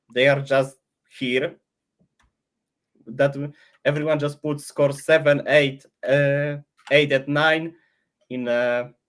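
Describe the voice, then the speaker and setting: Delivered with a non-native accent, the speech is very slow and broken by long, frequent pauses. The intonation stays monotone and flat. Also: man, fairly high pitch for a man. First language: not English. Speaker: AI model creator. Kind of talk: casual interview on livestream. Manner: halting, many restarts.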